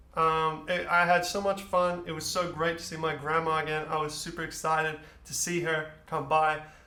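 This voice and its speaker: A man's bright, sharp, animated voice, fairly high in pitch, at a moderate pace with hardly any pauses and audible room echo. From Australia, moved to Netherlands at about eight. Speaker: storyteller, musician. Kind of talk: personal storytelling.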